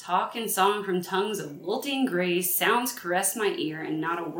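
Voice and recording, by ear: Natural-voiced reading aloud with ordinary rises and falls in pitch.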